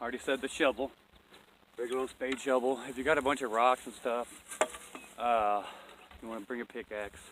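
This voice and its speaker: Medium-pitched male voice, monotone and flat, amid noticeable background noise. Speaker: off-grid homesteader vlogger. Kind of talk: casual outdoor tutorial. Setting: outdoors on a mountain. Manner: casual, rambling, self-correcting.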